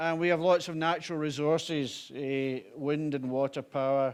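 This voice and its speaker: A man's fairly high pitch in a monotone, flat intonation. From Scotland, Glasgow. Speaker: violence reduction director, former police officer. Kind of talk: conference talk. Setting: conference with live interpreter. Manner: slow.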